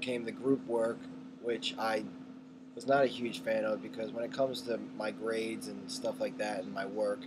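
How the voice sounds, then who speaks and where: A man talks at an unhurried, moderate pace while noticeable noise sits in the background. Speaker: college student. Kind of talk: self-evaluation monologue. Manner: soft-spoken; animated.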